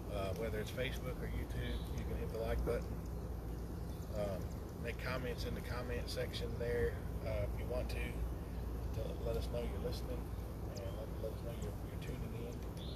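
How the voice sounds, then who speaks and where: A man talks at a moderate pace with long, frequent pauses. Loud background noise runs behind him. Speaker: preacher. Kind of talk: casual livestream Bible study talk. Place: open country.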